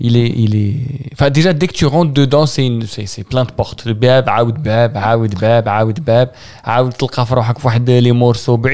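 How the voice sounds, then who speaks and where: Here a man speaks at a fairly slow pace with medium pitch. His tone is dark and mellow, with fairly even intonation. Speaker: podcast host. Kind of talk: casual chat.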